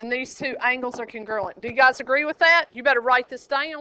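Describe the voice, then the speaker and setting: A woman projects a raised voice. Her tone is bright and sharp, with a high pitch. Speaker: high school geometry teacher. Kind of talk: classroom lecture. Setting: classroom. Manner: animated.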